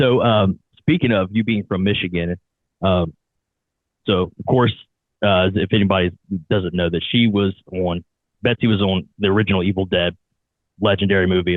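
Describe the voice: In an Ohio accent, a man speaks fairly low at a moderate pace with ordinary pitch variation. The sound is dry and close with no echo. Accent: American, Ohio.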